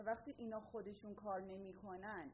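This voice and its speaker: A woman is talking at a moderate pace. Her voice sits at a medium pitch. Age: 20s. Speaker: urban planning graduate. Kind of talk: conference presentation. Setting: stage with audience.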